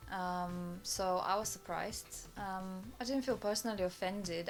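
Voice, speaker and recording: A woman with a Bulgarian accent over music in the background. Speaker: immigrant interviewee. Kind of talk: casual interview chat.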